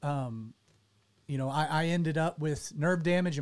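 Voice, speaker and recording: A man's fairly high voice in a Southern US accent, fairly quick pace and ordinary pitch variation, on a very clean recording with a silent background. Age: 30s. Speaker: pastor and radio show host. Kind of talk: casual chat. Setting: studio.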